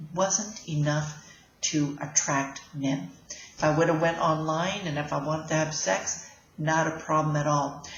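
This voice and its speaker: A woman speaks at a fairly slow pace, her pitch very deep and low and her intonation fairly even. Noticeable background noise and audible room echo surround her voice. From Canada. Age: 60s. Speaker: life coach. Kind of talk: casual vlog talk. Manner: halting, with fillers.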